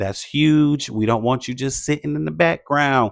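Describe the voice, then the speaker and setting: A man at medium pitch with lively intonation and a fairly slow pace, on a very clean recording with a silent background. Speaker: faith-based content creator coach. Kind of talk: motivational vlog talk. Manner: loud.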